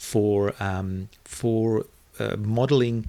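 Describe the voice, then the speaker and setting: Using ordinary pitch variation, a man with a South African accent speaks at a medium pitch. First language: Afrikaans. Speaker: online video marketing entrepreneur. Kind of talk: interview conversation. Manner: hesitant, many fillers and repetitions.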